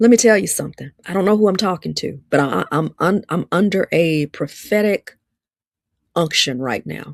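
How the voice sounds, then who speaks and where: A woman with an Alabama accent speaks in an animated tone, the sound dry and close with no echo on a very clean recording with a silent background. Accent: Southern (Alabama). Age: 50s. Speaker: live-stream host and relationship speaker. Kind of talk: livestream talk, preaching style. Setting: livestream on social media. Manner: animated, repetitive.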